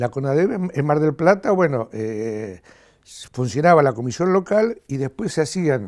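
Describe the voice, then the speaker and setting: A man speaks at a fairly slow pace with a fairly high pitch and very wide pitch swings. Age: 70s. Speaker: human rights activist. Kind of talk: interview testimony. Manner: halting, with repeated word fragments.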